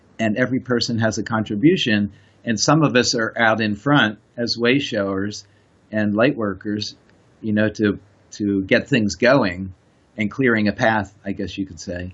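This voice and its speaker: A man with an American accent talks at a moderate pace in an ordinary speaking voice. His pitch is fairly low, with ordinary variation. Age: 60s. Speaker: spiritual teacher. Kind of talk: casual chat.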